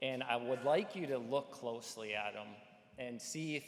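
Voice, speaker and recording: Intonation stays fairly even across speech delivered at a moderate speed. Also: man. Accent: slight Midwestern. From North Dakota, Fargo. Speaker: AI company executive. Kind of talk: conference presentation. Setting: conference stage with audience. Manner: casual, filler-heavy.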